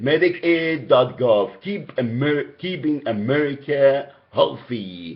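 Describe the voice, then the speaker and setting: Speaking with a strong Egyptian accent, a man talks at a very slow pace with lively intonation. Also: fairly high pitch for a man. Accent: heavy Egyptian. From Egypt, Alexandria. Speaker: caller. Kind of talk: phone complaint call. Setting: phone call. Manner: halting.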